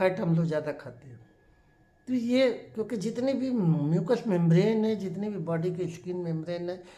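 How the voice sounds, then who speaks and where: Audible room echo surrounds a man whose high voice shows ordinary pitch variation and big swings in loudness. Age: 60s. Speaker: doctor. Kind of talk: health talk.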